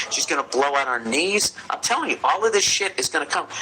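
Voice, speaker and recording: Against noticeable background noise, a man speaks with an American accent and ordinary pitch variation. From United States. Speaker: comedian. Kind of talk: podcast advice segment. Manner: profane, ranting.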